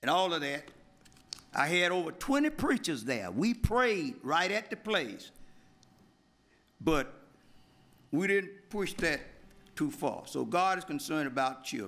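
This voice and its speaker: Using a bright, sharp tone and a high pitch, a man with an Alabama accent speaks at a fairly slow pace with very wide pitch swings and long, frequent pauses. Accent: Southern US, Alabama. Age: 80s+. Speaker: pastor and civil rights leader. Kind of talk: public comment at council meeting. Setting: city council chamber.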